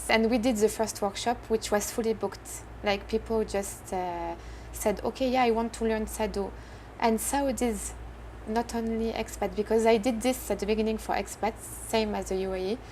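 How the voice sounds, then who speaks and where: A woman talks at a fairly quick pace in a French accent. Her speech has long, frequent pauses. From France. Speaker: entrepreneur. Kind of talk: interview. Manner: halting.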